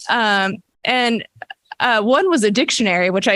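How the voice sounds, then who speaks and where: Fairly slow in pace, a woman talks with a fairly high pitch. Her pitch varies in an ordinary way. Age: 40s. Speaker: memorial speaker. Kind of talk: impromptu memorial tribute. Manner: halting.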